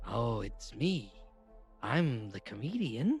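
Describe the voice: A man's put-on character voice with a husky, rough edge, big pitch swings, a slow pace and a slightly mellow tone, over faint music in the background. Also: medium pitch for a man.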